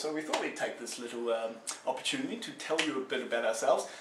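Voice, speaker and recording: A man speaks with a New Zealand accent. The recording has audible room echo and noticeable background noise. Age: 20s. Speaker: traveller on a charity march. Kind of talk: casual self-introduction video. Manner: halting, many fillers.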